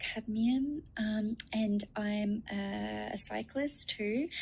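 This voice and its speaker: A woman speaks in a fairly high pitch. Her tone is dark and mellow, and somewhat breathy. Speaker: nutritionist and naturopath. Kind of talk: webinar presentation. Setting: video call. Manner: hesitant with many fillers.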